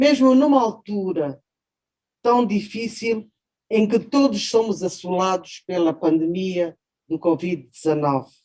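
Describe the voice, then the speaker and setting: Speaking at a very slow pace, a woman with a dark, mellow tone uses lively intonation. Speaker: judge. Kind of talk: formal speech. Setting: video call. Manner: formal.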